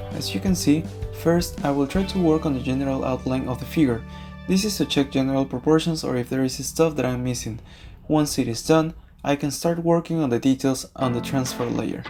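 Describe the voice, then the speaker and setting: Someone with a non-native accent speaks at a fairly quick pace. Music plays in the background. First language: not English. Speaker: digital comic artist. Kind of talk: drawing tutorial voice-over.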